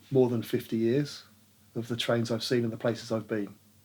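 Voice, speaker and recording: The voice belongs to a man, pitched in the medium range. Intonation stays monotone and flat. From London. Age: 60s. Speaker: trainspotter. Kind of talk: interview. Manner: halting.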